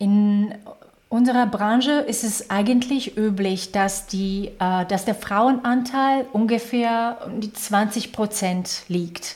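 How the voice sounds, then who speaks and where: A somewhat breathy voice with a slight Slovak accent, fairly even intonation and a very slow pace. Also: woman. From Slovakia. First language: Slovak (speaking German). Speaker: HR executive. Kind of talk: interview. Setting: video call.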